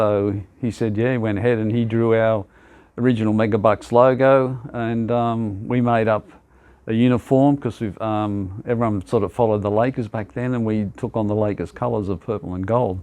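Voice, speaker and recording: A man with an Australian accent, medium-pitched, with a dark, mellow tone, a monotone, flat delivery and a moderate pace. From Australia, Sydney (Sutherland Shire). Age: 70s. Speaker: basketball club founder. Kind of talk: interview. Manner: hesitant, many fillers.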